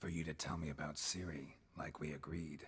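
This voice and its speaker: In a put-on character voice, a man speaks at a fairly quick pace with a very deep, low pitch, raspy texture, and a deadpan, monotone, flat delivery. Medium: video game. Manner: terse, deadpan.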